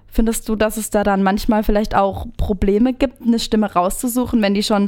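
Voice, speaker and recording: A woman's plain, everyday voice, fairly high in pitch, with fairly even intonation. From Baden, Ortenau region. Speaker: podcast host. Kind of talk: casual chat.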